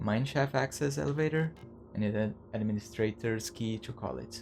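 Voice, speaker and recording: A man with a non-native accent, medium pitch, lively intonation and a fairly quick pace, over music in the background. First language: not English. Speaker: video game streamer. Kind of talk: gameplay commentary. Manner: halting.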